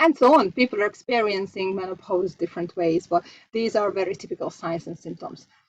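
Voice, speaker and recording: A woman with a Hungarian accent talks fairly quickly in a medium pitch with big swings in loudness, the sound dry and close with no echo. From Hungary. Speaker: homeopath and coach. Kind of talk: online masterclass presentation. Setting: live online session. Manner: halting, with fillers.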